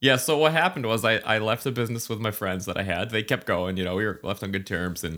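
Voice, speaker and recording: A man with an American accent, bright, sharp tone and very fast pace, on a very clean recording with a silent background. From New Hampshire, US. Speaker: competitive runner. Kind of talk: casual chat.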